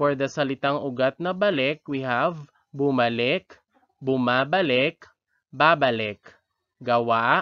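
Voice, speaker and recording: Very slowly, a man of medium pitch speaks in a dry, close sound with no echo. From Philippines, Iloilo (Western Visayas). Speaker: elementary teacher, language tutor. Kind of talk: tutorial. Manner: slow, deliberate repetition.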